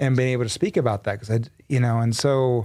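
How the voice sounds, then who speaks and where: At a fairly quick pace, a man with an American accent speaks at medium pitch on a very clean recording with a silent background. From Texas. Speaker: entrepreneur. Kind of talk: casual interview. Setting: studio. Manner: animated.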